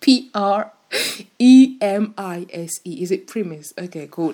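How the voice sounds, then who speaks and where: In an unremarkable speaking voice, a woman talks at a medium pitch and with ordinary pitch variation. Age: 20s. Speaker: podcast host. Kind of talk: casual solo podcast monologue. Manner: casual, chatty.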